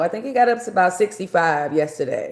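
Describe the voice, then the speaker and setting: A woman with an American accent speaks in a dark, mellow tone. Her intonation is lively. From New York. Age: 60s. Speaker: livestreamer. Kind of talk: casual livestream chat. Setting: live video stream.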